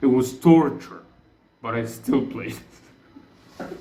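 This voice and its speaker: A man with a non-native accent speaks at a very slow pace, with audible room echo. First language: Arabic. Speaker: gaming YouTuber. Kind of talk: casual gaming commentary. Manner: halting, many self-corrections.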